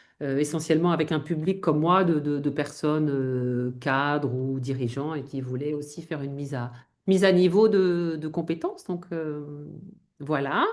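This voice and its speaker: Speaking at a moderate pace, a woman uses a very deep, low pitch with ordinary variation. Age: 50s. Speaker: image consultant. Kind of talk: interview conversation. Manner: hesitant, many fillers.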